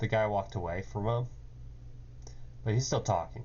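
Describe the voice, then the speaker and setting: This man's voice carries vocal fry. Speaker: game developer. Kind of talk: coding tutorial. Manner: hesitant, many fillers.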